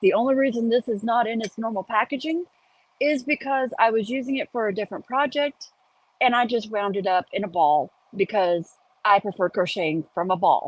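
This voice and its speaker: A woman talks in a normal speaking voice at a fairly high pitch and a fairly quick pace. The sound is dry and close with no echo. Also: lively intonation. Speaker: crochet teacher. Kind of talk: tutorial. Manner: casual, chatty.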